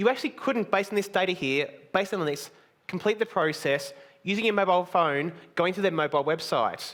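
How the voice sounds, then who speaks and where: A man with an Australian accent at a very fast pace, high in pitch with ordinary pitch variation. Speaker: conference speaker. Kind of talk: conference talk. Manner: blunt.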